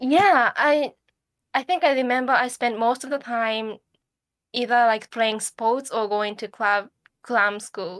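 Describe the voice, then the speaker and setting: With a Japanese accent, a woman speaks at a high pitch and a fairly slow pace, showing ordinary pitch variation. The recording is very clean with a silent background and a dry, close sound with no echo. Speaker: podcast co-host. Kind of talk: casual chat.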